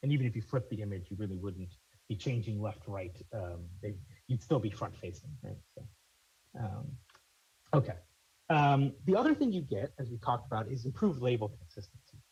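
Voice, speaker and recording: Fairly quick, somewhat breathy speech with lively intonation and long, frequent pauses. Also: man, medium pitch for a man. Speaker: conference presenter. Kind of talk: technical presentation. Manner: fast; halting, many fillers.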